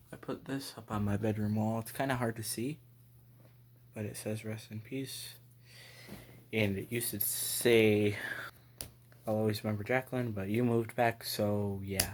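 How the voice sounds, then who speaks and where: A man speaks quietly at a moderate pace, with long, frequent pauses. His medium pitch stays monotone and flat. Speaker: vlogger. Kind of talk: personal vlog.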